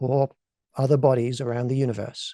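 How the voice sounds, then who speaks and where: A man's dark, mellow voice with an English accent at a fairly quick pace, dry and close with no echo, against a quiet background. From England. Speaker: alien contact specialist. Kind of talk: lecture.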